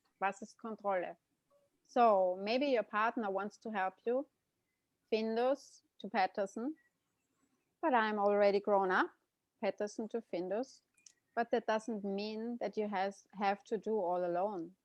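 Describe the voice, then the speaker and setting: A woman with a German accent speaks at a fairly slow pace with long, frequent pauses, using a medium pitch with ordinary pitch variation, in a dry, close sound with no echo and a quiet background. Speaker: interpreter and co-host. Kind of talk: live interpreting. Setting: video call.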